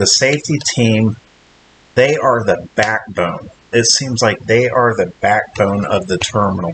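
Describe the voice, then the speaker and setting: Speaking at a fairly slow pace, a man with a medium-pitched voice uses lively intonation. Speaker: trucker vlogger. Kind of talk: casual vlog. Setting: hotel room. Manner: halting.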